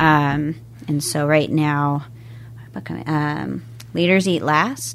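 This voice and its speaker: With an American accent and a calm tone, a woman speaks very slowly at a very deep, low pitch with ordinary pitch variation and long, frequent pauses, and audible room echo surrounds her. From US Pacific Northwest (Washington State, Everett area). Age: 30s. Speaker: realtor and yoga instructor. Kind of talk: interview.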